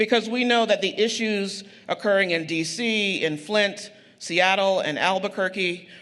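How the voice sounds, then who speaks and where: Talking at a moderate pace, a man with a high voice and an American accent has a bright, sharp tone and ordinary pitch variation. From Eastern North Carolina. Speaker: community organizer. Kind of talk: public speech. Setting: stage with audience.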